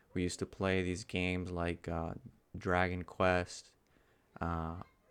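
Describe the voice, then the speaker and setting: A man with a very deep, low voice speaks at a moderate pace in a Spanish accent. The recording is very clean, with a silent background. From Dominican Republic, moved to Florida at ten. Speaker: YouTuber. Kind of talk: casual personal vlog. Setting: at home. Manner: casual, with fillers.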